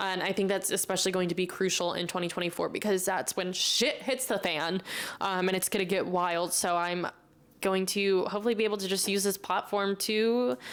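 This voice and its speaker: At a fairly quick pace, a woman speaks at medium pitch with fairly even intonation and very even loudness. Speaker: podcast host. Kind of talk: casual Q&A monologue. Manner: loud, chatty.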